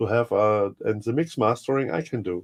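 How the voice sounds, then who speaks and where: Speaking with a German accent, a man keeps a moderate pace. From Germany. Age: 50s. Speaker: music producer. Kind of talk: interview. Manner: halting.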